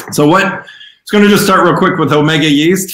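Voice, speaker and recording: With an American accent, a man talks. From US Midwest. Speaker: yeast company representative. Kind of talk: presentation. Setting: video call. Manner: loud.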